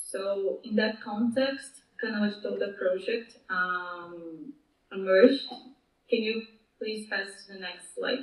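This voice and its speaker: Amid audible room echo, a woman talks at a very slow pace with a fairly high pitch and ordinary pitch variation. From Brazil. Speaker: project manager at a mapping nonprofit. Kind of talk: conference presentation. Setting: video call. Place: meeting room.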